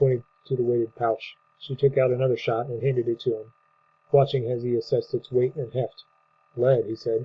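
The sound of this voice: The passage is read in an unforced reading voice.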